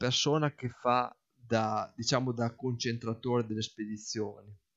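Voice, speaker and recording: The speech moves at a very slow pace over a quiet background. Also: man. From northern Italy, Parma province; northern Italy. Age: 40s. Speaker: hobby farmer and office worker. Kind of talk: casual explanatory monologue; casual explanatory vlog chat. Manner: halting, with repetitions. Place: garden. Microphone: non-professional recording equipment; phone near.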